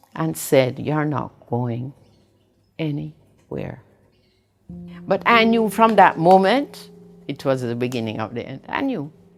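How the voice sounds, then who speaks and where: Over music in the background, a woman speaks fairly slowly at a very deep, low pitch, her voice swinging very widely, with long, frequent pauses. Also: big swings in loudness. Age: 80s+. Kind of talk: interview answer.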